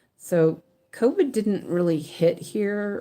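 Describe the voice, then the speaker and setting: A woman with an American accent speaks at a very slow pace in a dark, mellow tone. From California. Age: 50s. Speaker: weaving teacher and stitching streamer. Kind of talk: casual live-stream chat while stitching. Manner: chatty, rambling with many fillers.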